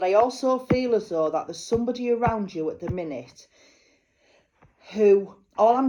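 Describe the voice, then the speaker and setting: A woman speaks in a Yorkshire accent at a moderate pace. Her tone is dark and mellow. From northern England, North Yorkshire (Malton). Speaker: psychic medium. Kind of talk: psychic card reading. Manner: chatty, informal.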